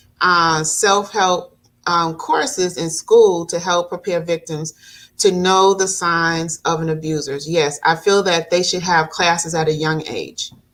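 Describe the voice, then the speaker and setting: This is an unremarkable speaking voice from a woman, fairly low in pitch, with fairly even intonation and a fairly slow pace. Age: 60s. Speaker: domestic abuse advocate and talk show host. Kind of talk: podcast interview. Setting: live stream.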